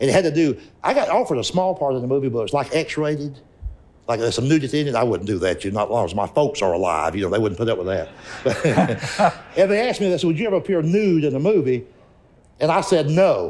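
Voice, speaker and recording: A man in a Southern US accent talks at a very fast pace with long, frequent pauses and very wide pitch swings, and there is noticeable background noise. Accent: Southern US (Georgia). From rural Georgia, east of Atlanta. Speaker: stand-up comedian. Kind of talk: interview answer.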